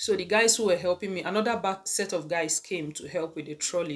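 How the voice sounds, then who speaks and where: A woman's fairly low voice at a fairly quick pace, with ordinary pitch variation. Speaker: vlogger. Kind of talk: casual vlog chat, storytelling. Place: home room. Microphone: phone near.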